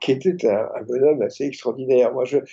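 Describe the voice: A man with a medium pitch and a dark, mellow tone carrying a slightly husky edge speaks at a fairly quick pace with fairly even intonation.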